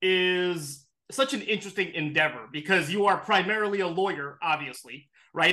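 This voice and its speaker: A man projects a raised voice at a high pitch. His tone is bright and sharp. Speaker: interviewer. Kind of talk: interview conversation.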